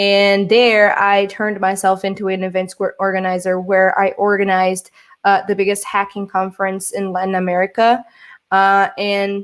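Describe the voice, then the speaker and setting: A woman with a Portuguese accent talks at medium pitch and a moderate pace in a very clean recording with a silent background. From Brazil. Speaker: social engineer, keynote speaker. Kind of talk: conference keynote talk. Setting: virtual conference. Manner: hesitant, many fillers.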